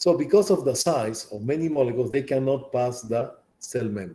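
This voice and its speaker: Lively in intonation, a man speaks at a fairly quick pace in a dark, mellow, somewhat breathy voice. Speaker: college bioscience instructor. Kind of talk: lecture. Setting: classroom. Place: home room. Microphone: webcam.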